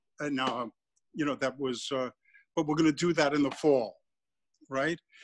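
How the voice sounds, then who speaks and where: This man's voice sits fairly high in pitch. He speaks with a New York accent. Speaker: artist and sculptor. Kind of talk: studio tour and demonstration. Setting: video call. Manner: animated, repetitive. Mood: reflective, warm. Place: workshop. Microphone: phone near.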